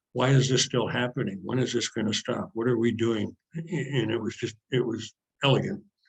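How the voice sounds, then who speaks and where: Vocal fry marks a man's speech at a fairly quick pace. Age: 70s. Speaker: retired sports editor. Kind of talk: interview. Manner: halting.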